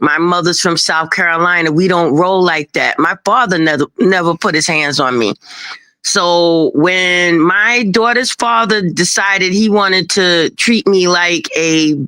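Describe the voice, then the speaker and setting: A woman in a New York accent speaks at a fairly slow pace and fairly low pitch, her tone bright and sharp, with ordinary pitch variation and very even loudness on a very clean recording with a silent background. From Brooklyn, New York. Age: 60s. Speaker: guest on a livestream talk show. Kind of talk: casual chat. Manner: animated.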